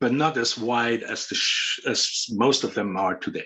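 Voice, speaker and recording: Talking at a fairly slow pace, a man's voice moves in very wide pitch swings. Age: 60s. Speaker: windsurf board shaper. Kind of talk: casual interview chat.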